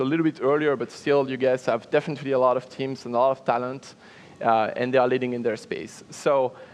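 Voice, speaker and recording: A man talks with a French accent. His pitch is fairly high and his intonation fairly even. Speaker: panel moderator. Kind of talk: panel discussion. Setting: stage with audience.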